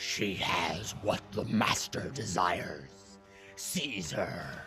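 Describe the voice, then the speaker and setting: Over clear music in the background, a man does a put-on character voice at a fairly low pitch and a very slow pace. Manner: commanding, menacing.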